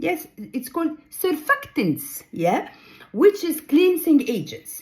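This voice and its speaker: A woman's dark, mellow tone with very wide pitch swings. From Egypt. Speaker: ghostwriter and skincare vlogger. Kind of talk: tutorial. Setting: reading notes from another screen. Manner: halting, many fillers.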